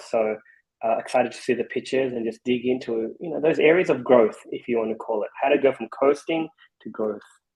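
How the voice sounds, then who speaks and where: Speaking very fast with an Australian accent, a man keeps his intonation fairly even. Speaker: venture investor. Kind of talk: casual chat. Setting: video call.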